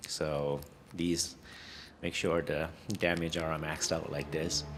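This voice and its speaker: In a room with audible echo, a man with a non-native accent speaks very slowly in a very deep, low voice with monotone, flat intonation. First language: not English. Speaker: gaming content creator. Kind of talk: game build guide tutorial. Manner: halting, many fillers and restarts.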